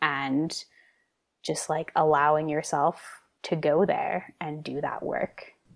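In a Canadian accent, a woman with very deep, low pitch speaks with fairly even intonation. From Kootenays, British Columbia, Canada. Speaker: Ayurvedic practitioner and health coach. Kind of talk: casual interview.

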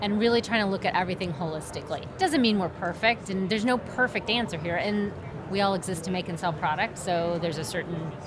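An American-accented woman talks at a very fast pace with lively intonation and medium pitch. Noticeable background noise and audible room echo fill the recording. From Oklahoma. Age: 50s. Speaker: apparel manufacturing executive. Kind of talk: casual trade show conversation.

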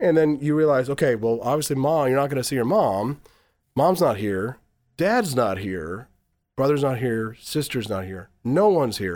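On a very clean recording with a silent background, a man with an American accent uses a normal speaking voice at medium pitch, moderate pace, and lively intonation. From Missouri. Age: 40s. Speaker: radio host and former presidential candidate. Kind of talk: casual interview.

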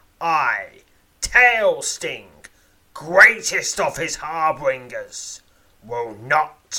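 A put-on character voice, growling at a very slow pace. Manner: menacing, threatening.

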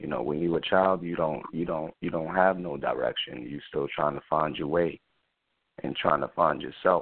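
In a New York accent, a man speaks fairly slowly with a very deep, low pitch. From New York City, South Bronx. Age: 20s. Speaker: spoken word artist and rapper. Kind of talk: interview.

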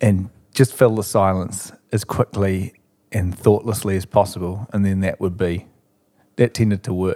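Speaking in a New Zealand accent at a moderate pace, a man with a dark, mellow tone and fairly low pitch delivers everything in a flat monotone, the sound dry and close with no echo. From New Zealand, Christchurch. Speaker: musician. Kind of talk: casual chat. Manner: halting.

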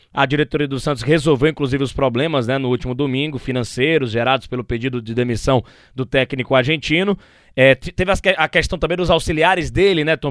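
Over a silent background in a very clean, dry and close recording with no echo, a man with a normal speaking voice talks at a fairly quick pace in a fairly high pitch with ordinary pitch variation. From Brazil, Ceará (Fortaleza). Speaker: sports podcast host. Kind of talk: casual sports chat.

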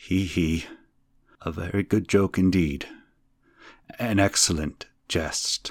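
Very deep and low, a man's voice moves at a very slow pace with long, frequent pauses and fairly even intonation, in a very clean, dry, close recording with no echo and a silent background. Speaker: podcast host and narrator of classic horror fiction. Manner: slow, measured and ominous, lingering over each completed tier; hushed, creeping suspense as the low laugh rises.

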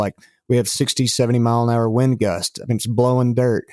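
Fairly quick and in a West Texas accent, a man speaks at medium pitch, captured in a dry, close sound with no echo on a very clean recording with a silent background. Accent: West Texas Southern. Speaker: country singer-songwriter. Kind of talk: casual interview.

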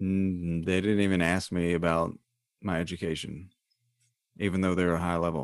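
A man speaks in a very deep, low pitch with monotone, flat intonation. The background is quiet. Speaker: podcast host. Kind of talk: casual chat, joking banter.

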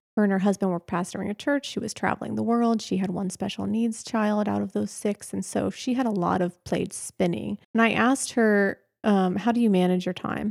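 A woman with a General American accent speaks at medium pitch, at a fairly quick pace, with hardly any pauses and fairly even intonation. She has an unremarkable speaking voice, recorded with a dry, close sound with no echo. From Pennsylvania, US. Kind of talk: casual interview.

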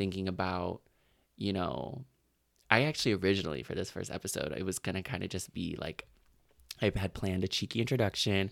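With long, frequent pauses, a man speaks in a very deep, low pitch with ordinary pitch variation. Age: 20s. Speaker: podcast host. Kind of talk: casual chat.

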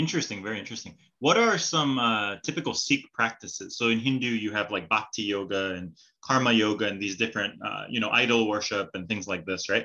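The speaker uses a normal speaking voice with an American accent. The pace is fairly quick, and the pitch variation is ordinary. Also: man, fairly low pitch for a man. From California. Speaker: podcast host. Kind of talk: interview.

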